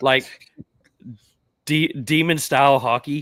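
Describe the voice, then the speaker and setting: Someone with an American accent speaks at a very slow pace with ordinary pitch variation, in a dry, close sound with no echo. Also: man. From Central Florida. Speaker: podcast host. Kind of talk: casual chat.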